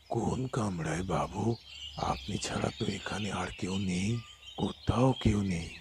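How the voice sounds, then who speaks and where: A man puts on a character voice, pitched fairly low and delivered at a fairly slow pace. Background noise is clearly audible behind him. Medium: short film. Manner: deferential, calls master sir.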